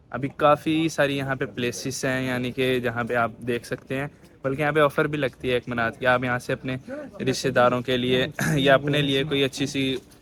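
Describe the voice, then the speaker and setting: A man speaks at a medium pitch in a monotone, flat intonation. Noticeable background noise sits under his voice. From Pakistan. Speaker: travel vlogger. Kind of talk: travel vlog narration. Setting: outdoors walking in old city streets.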